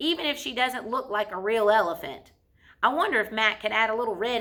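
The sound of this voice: Someone reads in an unforced voice.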